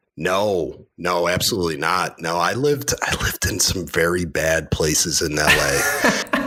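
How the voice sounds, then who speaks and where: A man with a Western New York accent speaks in a very deep, low pitch with lively intonation. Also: fairly slow pace, hardly any pauses. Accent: upstate Western New York. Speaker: cybersecurity industry guest. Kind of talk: casual interview chat. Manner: hesitant, many fillers.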